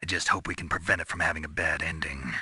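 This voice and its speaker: A man's growling put-on character voice at a very fast pace. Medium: video game. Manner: terse, low-key.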